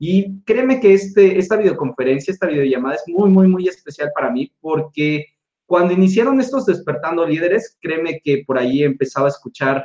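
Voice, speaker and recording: A man's voice with lively intonation. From Mexico, Tabasco. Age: 30s. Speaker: motivational speaker. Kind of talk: motivational talk. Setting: video call. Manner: animated.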